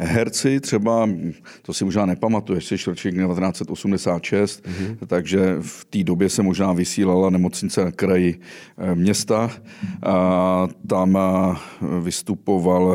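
With a very deep, low pitch and a dark, mellow tone, a man speaks at a fairly slow pace using fairly even intonation. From western Bohemia. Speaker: podcast host. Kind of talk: interview.

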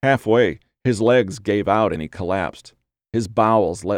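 Quiet surroundings behind a natural reading voice.

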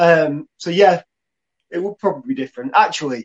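A man's high-pitched, lively speech at a fairly quick pace, with a dry, close sound and no echo. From Lancashire, northern England. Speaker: digital marketing agency director. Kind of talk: casual live-streamed chat. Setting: Facebook live video.

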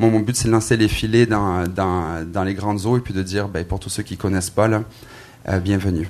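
A man's plain, everyday voice, fairly low in pitch, with ordinary pitch variation and a fairly quick pace. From southern France (Marseille, Aix-en-Provence). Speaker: pastor and worship musician. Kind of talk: panel discussion. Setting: stage with audience.

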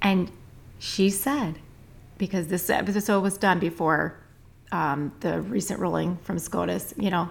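Speaking at a fairly slow pace with long, frequent pauses, a woman uses a fairly low pitch and vocal fry. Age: 40s. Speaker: midwife and podcast co-host. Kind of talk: casual chat.

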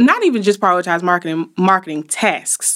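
A woman talks with an Alabama accent. The recording is very clean, with a silent background. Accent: US South (Alabama). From Montgomery, Alabama. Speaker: marketing company owner. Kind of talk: interview conversation. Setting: studio.

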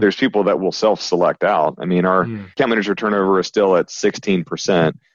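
A man with a plain, everyday voice, fairly low in pitch with ordinary pitch variation, at a fairly quick pace, in a dry, close sound with no echo and a quiet background. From US South, Alabama. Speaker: company CEO. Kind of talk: interview conversation.

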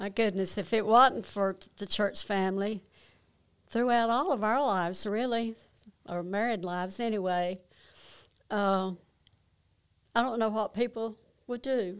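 With a North Carolina accent, a woman speaks at a fairly high pitch and a fairly slow pace, her intonation fairly even and broken by long, frequent pauses. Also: very clean recording, silent background. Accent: Southern US, North Carolina. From North Carolina, Kannapolis. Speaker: church pianist sharing testimony. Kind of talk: testimony.

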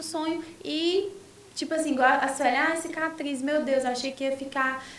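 Noticeable background noise and audible room echo surround the recording. The woman talks at a moderate pace. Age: 20s. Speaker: influencer and sales representative. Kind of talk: casual chat. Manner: animated.

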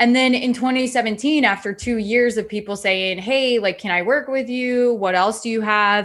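A woman with an American accent and a plain, everyday voice speaks at a moderate pace in a fairly high pitch, with fairly even intonation and hardly any pauses, on a very clean recording with a silent background. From US Midwest, Iowa. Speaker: entrepreneur and business coach. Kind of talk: podcast interview.

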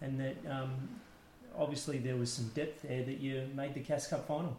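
Somewhat breathy, a man talks at a fairly high pitch with fairly even intonation. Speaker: podcast host and interviewer. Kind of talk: interview, conversational. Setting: interviewee's home.

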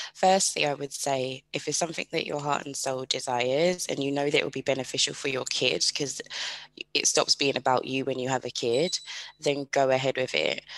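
With a British accent, a woman speaks at a very deep, low pitch and fairly even intonation, in a dry, close sound with no echo. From UK. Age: 30s. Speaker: podcast host, single mother. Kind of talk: casual interview chat.

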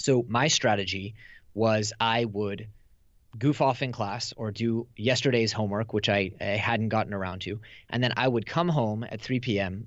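A man's normal speaking voice with an American accent, medium in pitch, at a moderate pace with fairly even intonation. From Silicon Valley, California. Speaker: author and entrepreneur. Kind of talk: casual interview chat.

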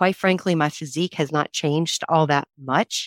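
A woman with an American accent speaks at a moderate pace in a very deep, low pitch with fairly even intonation. The sound is dry and close with no echo, in a very clean recording over a silent background. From North Carolina, Raleigh. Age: 40s. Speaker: executive recruiter. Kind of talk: interview.

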